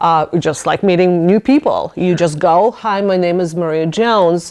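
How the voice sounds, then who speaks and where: Over a quiet background, the speaker talks at a fairly slow pace in a non-native accent. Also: woman. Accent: foreign accent, noticeable. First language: not English. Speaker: business owner and lawyer. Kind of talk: casual interview chat. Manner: halting.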